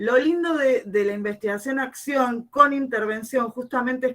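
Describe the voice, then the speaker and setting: A woman speaks at a fairly slow pace with lively intonation. Her tone is bright and sharp. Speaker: English teacher and researcher. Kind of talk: conference presentation. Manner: halting with fillers.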